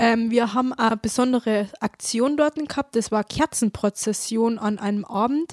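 A woman in a normal speaking voice talks at a moderate pace with hardly any pauses, her fairly high pitch showing ordinary variation in a dry, close sound with no echo. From Upper Bavaria, Traunstein district. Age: young, 18. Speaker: mechatronics apprentice, rural youth volunteer. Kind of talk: casual interview.

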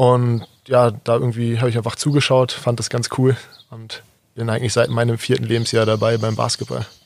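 A man speaks at a medium pitch and a moderate pace. His intonation stays monotone and flat. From Berlin (Kreuzberg), Germany. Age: 20s. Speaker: basketball player and coach. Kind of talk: interview. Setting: outdoors on a garden terrace.

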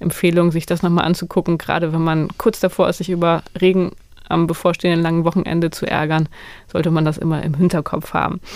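A woman's fairly low voice, very fast, in a monotone, flat delivery. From northern Germany. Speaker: science journalist, podcast host. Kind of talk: casual chat.

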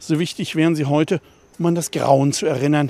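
A man speaks at a very fast clip with a fairly high pitch. The recording is very clean and dry, close-miked with no echo against a silent background. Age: 60s. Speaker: newspaper journalist and local history author. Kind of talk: audio walking tour narration.

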